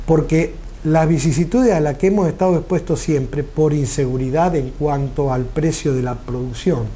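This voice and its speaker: A man with a fairly high voice, speaking at a moderate pace with a somewhat breathy quality. His tone is dark and mellow, and the room echo is audible. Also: ordinary pitch variation. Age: 60s. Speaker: farmer. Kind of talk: interview. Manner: formal.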